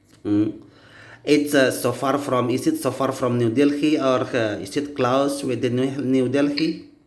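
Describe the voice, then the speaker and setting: A man with an Indonesian accent talks in a medium pitch at a fairly slow pace. His intonation stays fairly even, and the room echo is audible. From Indonesia, Aceh. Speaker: English learner. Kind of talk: casual chat. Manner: halting.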